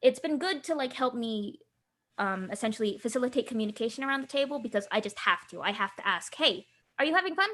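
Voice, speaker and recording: Speaking in an American accent, a woman moves at a very fast pace. Her tone is bright and sharp, her intonation lively. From Southern California, Filipino diaspora. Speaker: tabletop game designer. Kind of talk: interview. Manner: halting, many fillers and restarts.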